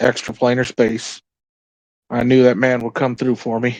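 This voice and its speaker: A man uses a put-on character voice at medium pitch, speaking at a moderate pace with monotone, flat intonation. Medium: actual play. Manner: folksy, plainspoken.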